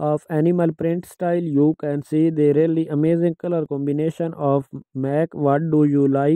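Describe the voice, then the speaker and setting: A man's fairly high, monotone voice with a dark, mellow tone and a non-native accent, at a moderate pace, in dry, close sound with no echo. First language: not English. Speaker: fashion YouTuber. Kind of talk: voiceover commentary on outfit slideshow.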